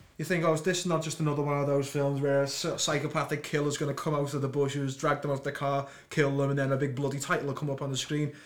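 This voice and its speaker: Speaking very fast with hardly any pauses, a man with a Liverpool accent keeps a monotone, flat intonation at a fairly high pitch for a man. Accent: Liverpool (Scouse) English. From Liverpool, England. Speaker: podcast co-host. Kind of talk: casual chat. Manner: stuttering.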